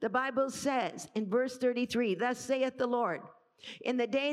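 Animated in tone, a woman with a high-pitched voice speaks at a fairly slow pace. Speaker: preacher. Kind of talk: sermon. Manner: animated, exhorting the congregation with call-and-response.

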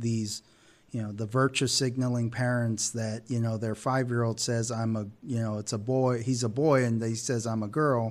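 A man talks in a normal speaking voice at medium pitch and a moderate pace, with fairly even intonation. The recording is very clean, the background silent. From Texas. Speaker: podcast co-host. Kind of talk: casual chat.

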